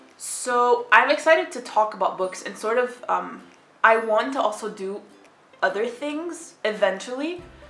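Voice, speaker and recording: A woman's fairly high voice at a fairly slow pace, with lively intonation, big jumps in loudness and audible room echo. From Egypt. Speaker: book vlogger. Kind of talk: casual vlog talk. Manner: stutters at times; dry, sarcastic delivery.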